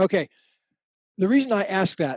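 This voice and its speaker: A man's high voice with lively intonation. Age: 70s. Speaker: author and relationship expert. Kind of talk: interview answering student questions.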